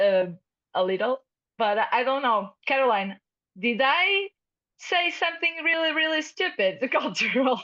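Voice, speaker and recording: A woman's raised, projected voice with a Portuguese accent, high in pitch with very wide pitch swings, a bright, sharp tone, very even loudness and long, frequent pauses. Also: moderate pace. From Portugal. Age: 30s. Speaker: international fellow, startup CEO. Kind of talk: panel interview. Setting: video call. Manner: halting.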